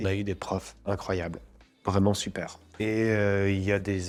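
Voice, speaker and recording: A man talks in a very deep, low pitch with monotone, flat intonation. The recording is very clean, with a silent background. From France. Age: 40s. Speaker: actor. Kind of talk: interview. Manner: casual, hesitant with fillers and repetitions.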